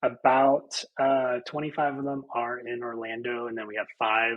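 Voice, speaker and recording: At a moderate pace, a normal speaking voice comes through with an American accent. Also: man. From Central Florida, USA. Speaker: real estate agent and team leader. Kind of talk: podcast interview answer.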